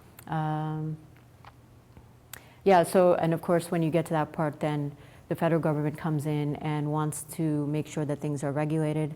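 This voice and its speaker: The quiet voice has a dark, mellow tone and monotone, flat intonation, broken by long, frequent pauses. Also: woman, very deep, low pitch for a woman. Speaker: pharma executive and physician giving a keynote. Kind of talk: keynote presentation. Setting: stage with audience at event. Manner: fast; too quiet.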